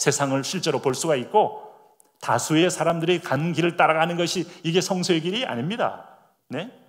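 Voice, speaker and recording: In audible room echo, a man with a high pitch talks at a moderate pace. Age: 60s. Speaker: pastor. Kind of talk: sermon.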